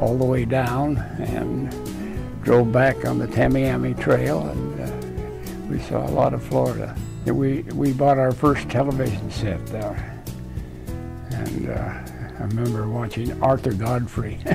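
Clear music plays in the background as a man speaks at a fairly slow pace. He leaves long, frequent pauses. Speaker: retired engineer. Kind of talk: interview answer. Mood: relaxed reminiscing. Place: home room. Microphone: lapel.

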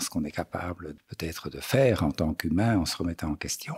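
A very deep, low-pitched male voice, somewhat breathy. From Belgium, Brussels. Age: 60s. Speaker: polar explorer. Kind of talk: interview. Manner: halting, many hesitations.

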